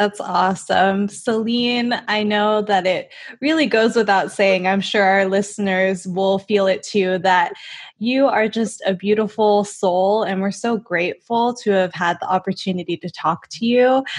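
A woman at a fairly slow pace, with fairly even intonation, against a quiet background. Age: 20s. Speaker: podcast co-host. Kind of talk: casual interview. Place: home room. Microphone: studio mic.

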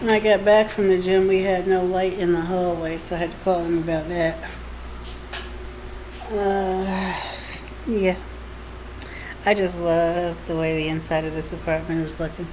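Over light background noise, a woman with a fairly low pitch speaks in a monotone, flat intonation at a fairly slow pace, leaving long, frequent pauses. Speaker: vlogger. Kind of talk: casual vlog chat. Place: kitchen.

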